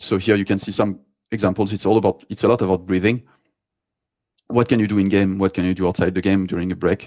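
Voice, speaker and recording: In a fairly low, monotone voice, a man speaks very fast yet leaves long, frequent pauses. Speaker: performance psychologist. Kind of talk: lecture.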